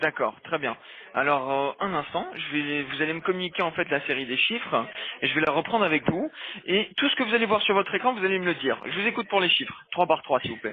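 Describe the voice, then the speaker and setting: Over noticeable background noise, a man speaks at a fairly quick pace with a high pitch and lively intonation. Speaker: phone support agent. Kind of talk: phone call guidance. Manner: fast.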